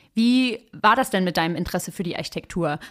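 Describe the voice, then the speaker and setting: A woman with an unremarkable speaking voice talks at a fairly quick pace with lively intonation. The recording is very clean, with a silent background. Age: 30s. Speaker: podcast host and urban sociologist. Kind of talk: interview conversation; scripted narration. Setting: studio.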